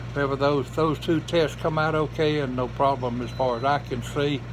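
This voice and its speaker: Noticeable background noise surrounds this recording. A man with a Georgia accent speaks at a moderate pace. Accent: Southern US, Georgia. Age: 80s+. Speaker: retired race car driver and amateur gospel singer. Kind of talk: casual personal monologue.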